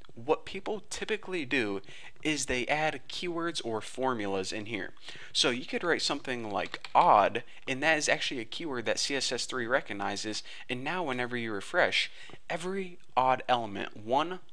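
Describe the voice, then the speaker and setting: A man at a medium pitch and moderate pace, animated in tone with lively intonation, with audible room echo. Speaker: programming tutorial instructor. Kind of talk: tutorial. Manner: casual, animated.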